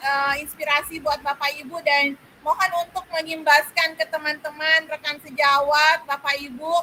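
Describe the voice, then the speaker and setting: Over music in the background, a woman talks in a raised, projected voice at a high pitch. Her intonation is monotone and flat, and her pace is fairly slow. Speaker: teacher community speaker. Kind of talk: online workshop presentation. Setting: online video meeting. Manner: loud, raising voice; hesitant, many fillers.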